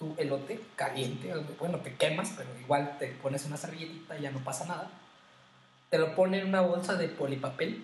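At a fairly quick pace, a man talks amid audible room echo and noticeable background noise. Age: 20s. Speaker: podcast co-host, former seminarian. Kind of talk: casual chat.

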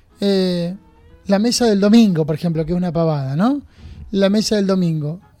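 With music in the background, a man speaks in a high pitch. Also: ordinary pitch variation, moderate pace. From Argentina, Junín (Buenos Aires province). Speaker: parish priest. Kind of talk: radio interview.

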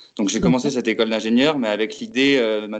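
Against a quiet background, a man speaks with a fairly low pitch and fairly even intonation. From France, Lorraine (Metz). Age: 20s. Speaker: aspiring urban farmer, former public works site manager. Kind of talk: interview testimony. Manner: hesitant, many fillers.

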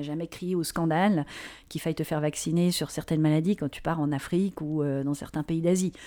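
A woman's very deep, low voice with a dark, mellow tone, fairly quick and fairly even in intonation, on a very clean recording with a silent background. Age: 40s. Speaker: digital strategy and ethics consultant. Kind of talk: interview.

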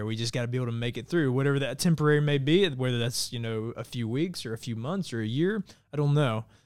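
A man with an American accent talks at a very fast pace with hardly any pauses. His pitch variation is ordinary. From Georgia (US). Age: 30s. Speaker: nonprofit mental health advocate, firefighter. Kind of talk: interview. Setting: studio.

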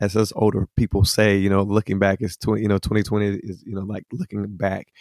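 Fairly quick, fairly low man's voice with a Southern US accent, dry and close with no echo, in a very clean recording with a silent background. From US South, Hickory, North Carolina. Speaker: singer-songwriter. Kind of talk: interview testimony.

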